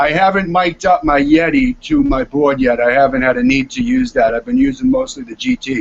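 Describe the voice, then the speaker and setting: This man talks at a fairly quick pace with hardly any pauses, in a Boston accent, his fairly high pitch making very wide swings. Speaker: music producer and composer. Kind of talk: casual chat. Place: home room. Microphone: video call.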